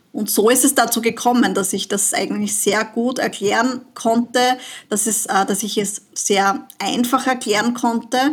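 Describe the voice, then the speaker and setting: A woman's normal speaking voice, fairly high in pitch, with fairly even intonation and a fairly slow pace. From Austria, southern Burgenland. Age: 40s. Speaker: money and business mentor. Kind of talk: casual interview.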